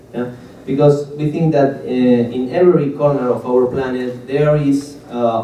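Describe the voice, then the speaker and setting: A man with an Argentine accent, medium pitch, fairly even intonation and a fairly slow pace, with audible room echo and noticeable background noise. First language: Spanish. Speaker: cooperative movement activist. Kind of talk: talk to an audience. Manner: halting, with many fillers.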